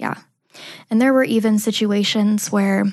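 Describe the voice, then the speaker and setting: A woman speaks with monotone, flat intonation and a somewhat breathy voice. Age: 20s. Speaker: abuse survivor sharing her story. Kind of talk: testimony. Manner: hesitant, many fillers.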